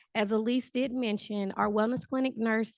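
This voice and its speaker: A woman speaks at a moderate pace with a fairly high pitch and fairly even intonation. The background is quiet. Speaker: director of nursing. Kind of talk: community presentation to residents.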